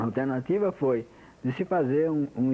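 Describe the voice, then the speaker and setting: At a moderate pace, a man with a fairly high pitch speaks in a dark, mellow tone. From interior of São Paulo state, Brazil. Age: 60s. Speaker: engineer interviewee giving oral history. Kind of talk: oral history testimony. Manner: halting, with many repetitions.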